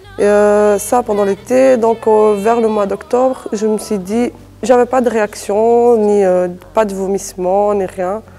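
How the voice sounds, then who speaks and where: A woman with a fairly high voice speaks very slowly and with fairly even intonation while music plays in the background. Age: 20s. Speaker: young mother. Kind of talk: testimony. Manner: halting.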